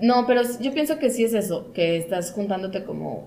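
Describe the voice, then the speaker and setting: A woman's fairly high voice at a moderate pace, with noticeable background noise and audible room echo. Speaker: podcast host. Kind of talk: casual chat.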